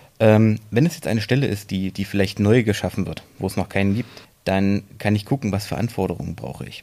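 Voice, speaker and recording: Speaking at a moderate pace, a man has a plain, everyday voice pitched fairly low. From Thuringia, Germany (Erfurt). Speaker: copywriter. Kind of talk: interview.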